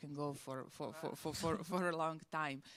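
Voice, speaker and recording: A woman with a Croatian accent and a fairly low pitch. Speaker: museum curator. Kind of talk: on-stage interview.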